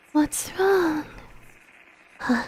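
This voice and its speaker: A woman's shrill, high-pitched put-on character voice. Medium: game stream. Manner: cloyingly sweet, toying.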